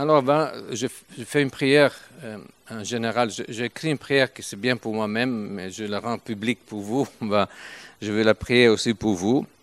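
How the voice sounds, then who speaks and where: With an Italian accent, a man talks at a fairly slow pace and medium pitch, his loudness swinging widely, his pitch varying in an ordinary way, and the sound dry and close with no echo. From Italy, Turin. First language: Italian (speaking French). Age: 70s. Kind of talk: sermon. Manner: halting.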